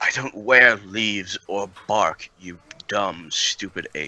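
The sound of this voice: A man puts on a character voice with a fairly low pitch. His pace is very slow.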